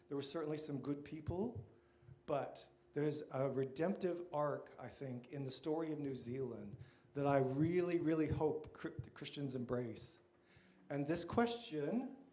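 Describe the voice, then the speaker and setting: With an American accent, a man speaks at a moderate pace and a fairly high pitch. His pitch varies in an ordinary way, and room echo is audible. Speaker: church workshop presenter. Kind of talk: lecture.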